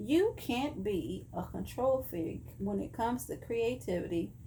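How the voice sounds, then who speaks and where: A woman with a Texan accent, a fairly slow pace and audible room echo. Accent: Texan Southern US. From Texas. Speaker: vlogger. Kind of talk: casual chat.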